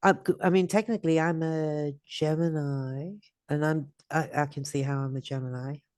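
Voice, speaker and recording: In a quiet background, a woman speaks with a very deep, low pitch and a dark, mellow tone, her intonation fairly even and her pace moderate. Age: 60s. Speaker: astrology podcast host. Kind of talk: casual chat.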